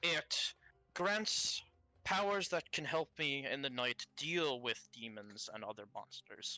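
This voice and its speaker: A put-on character voice sits at a middle pitch. It moves at a fairly slow pace. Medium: actual play. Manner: formal, avoids contractions, earnest.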